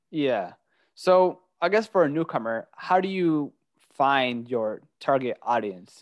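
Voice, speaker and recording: A plain, everyday voice from a man, fairly high in pitch with lively intonation. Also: big swings in loudness. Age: 20s. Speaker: podcast host. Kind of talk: interview.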